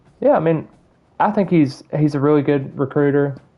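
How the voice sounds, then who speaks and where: A man's fairly high voice with ordinary pitch variation, a slight Southern US accent and a fairly quick pace. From Alabama. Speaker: gaming streamer. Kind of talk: live gameplay commentary and casual chat. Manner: hesitant, repeats words.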